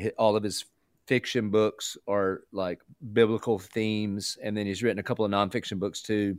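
Southern US accent in a monotone, flat intonation at a moderate pace, with a dry, close sound with no echo and a very clean recording over a silent background. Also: man, fairly low pitch for a man. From US South. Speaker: pastor. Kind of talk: radio interview.

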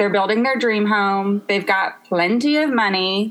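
A woman with an American accent and a medium pitch speaks at a fairly slow pace in an ordinary speaking voice. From US South, Memphis, Tennessee. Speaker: interior designer. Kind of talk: casual chat.

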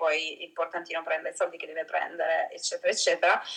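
This woman talks with noticeable noise in the background. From Italy. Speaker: travel photographer. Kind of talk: casual interview chat.

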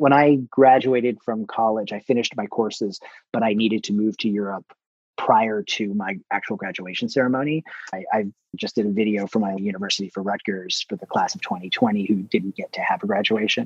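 An ordinary speaking voice moves at a fairly quick pace with ordinary pitch variation, its sound dry and close with no echo. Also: man, fairly low pitch for a man. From New Jersey. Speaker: publicist. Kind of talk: interview.

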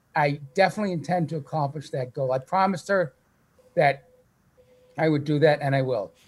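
A man speaks at a fairly quick pace, breaking it up with long, frequent pauses. His voice is fairly high in pitch, somewhat breathy, with fairly even intonation. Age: 60s. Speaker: cancer survivor and author. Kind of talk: testimony.

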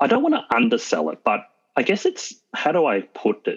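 A man at a moderate pace with an Australian accent. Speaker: car owner. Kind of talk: casual interview. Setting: video call.

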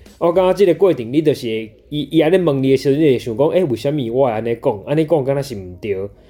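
Speaking at a very fast pace, this man has a dark, mellow tone. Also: fairly high pitch for a man, lively intonation. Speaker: band member, musician. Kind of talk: interview.

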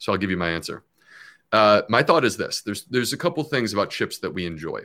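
In an American accent, a man speaks at a fairly low pitch with a bright, sharp tone. The recording is very clean, with a silent background. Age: 40s. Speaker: gastroenterologist. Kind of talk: live Q&A chat.

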